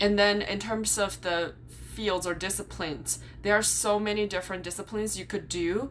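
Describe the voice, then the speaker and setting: A woman speaks with fairly even intonation at a moderate pace while noticeable background noise runs underneath. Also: medium pitch for a woman. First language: Chinese. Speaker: YouTuber and graduate student. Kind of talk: vlog explainer. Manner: casual, some filler words.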